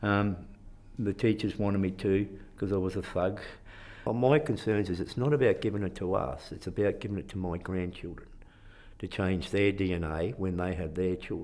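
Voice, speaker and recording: A man with a strong Australian accent, fairly low in pitch, at a moderate pace. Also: ordinary pitch variation. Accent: broad Australian. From Queensland, Australia. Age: 60s. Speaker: citizens' jury member. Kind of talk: interview. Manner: halting.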